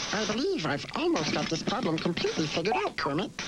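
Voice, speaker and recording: Over loud background noise, a man puts on a high-pitched cartoonish character voice and speaks very fast. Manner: precise, courteous, lecturing.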